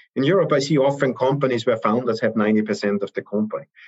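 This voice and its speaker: With a German accent, a man speaks at a moderate pace in a dry, close sound with no echo. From Austria. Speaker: venture capital investor. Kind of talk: interview.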